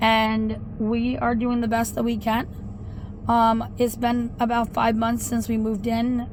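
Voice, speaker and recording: Audible room echo surrounds a fairly slow, monotone, flat delivery. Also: woman, fairly high pitch for a woman. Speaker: vlogger. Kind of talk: casual vlog talk. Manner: loud.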